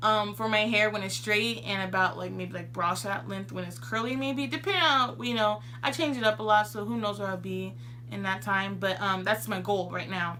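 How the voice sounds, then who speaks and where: A woman's voice carries audible echo from the room, with noticeable noise behind her. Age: 20s. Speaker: beauty vlogger. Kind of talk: tutorial. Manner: fast.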